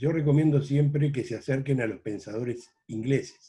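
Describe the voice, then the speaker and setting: Medium-pitched, somewhat breathy male voice with a dark, mellow tone, fairly slow pace and ordinary pitch variation. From Uruguay, Rocha department (La Paloma). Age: 70s. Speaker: journalist. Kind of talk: interview. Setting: video call.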